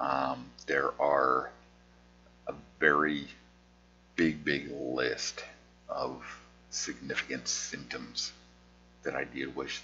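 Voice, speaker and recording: Over noticeable background noise, a man mumbles in a very deep, low voice with monotone, flat intonation, speaking very slowly with long, frequent pauses. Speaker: artist with conversion disorder. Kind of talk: casual vlog monologue. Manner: slurred words; mumbling.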